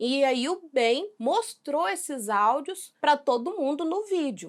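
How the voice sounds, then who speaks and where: A woman's high voice moves through very wide pitch swings as she talks at a very slow pace. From Brazil, Minas Gerais. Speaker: react youtuber. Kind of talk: reaction video commentary. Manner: casual, conversational.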